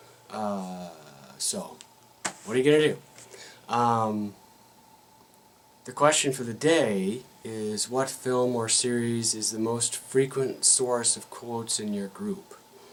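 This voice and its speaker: A man talks at a very slow pace with long, frequent pauses and ordinary pitch variation. Noticeable background noise sits behind him. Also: medium pitch for a man. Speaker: RPG video blogger. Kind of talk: casual vlog monologue. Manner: halting, many fillers.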